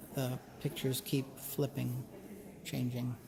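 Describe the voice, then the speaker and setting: The voice is a whisper, unhurried at a fairly slow pace. Behind it, background noise is noticeable. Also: man. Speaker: content creator. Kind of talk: gallery walk-through vlog. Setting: museum gallery. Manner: whispering.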